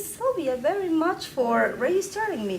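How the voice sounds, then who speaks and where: A woman with a Spanish accent speaks at a high pitch with very wide pitch swings, amid audible room echo and noticeable background noise. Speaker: publisher of a local news site. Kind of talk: conference panel talk. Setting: training session with audience. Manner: animated.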